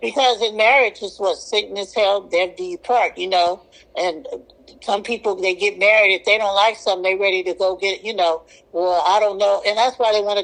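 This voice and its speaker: This woman has a normal speaking voice at medium pitch and talks at a fairly quick pace. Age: 60s. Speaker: podcast guest sharing celibacy experience. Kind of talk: casual interview conversation.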